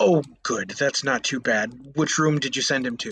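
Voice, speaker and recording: A man at a medium pitch puts on a character voice. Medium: read story. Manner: soft, hesitant.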